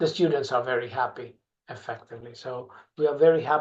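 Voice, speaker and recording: Somewhat breathy, a man at a fairly quick pace with fairly even intonation. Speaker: university representative. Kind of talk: webinar presentation. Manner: halting.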